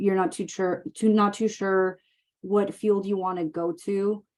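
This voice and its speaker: In a Mexican accent, a woman speaks at a medium pitch with a dark, mellow tone. Her pace is moderate and her intonation fairly even. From Mexicali, Mexico / Calexico border area. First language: Spanish. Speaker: emergency medicine physician assistant. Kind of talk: Q&A webinar.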